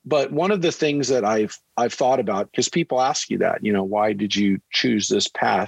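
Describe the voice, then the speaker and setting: In a dry, close sound with no echo, a man with an American accent speaks at a medium pitch and moderate pace, with lively intonation and very even loudness. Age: 50s. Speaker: rabbi. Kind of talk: casual interview. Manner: halting.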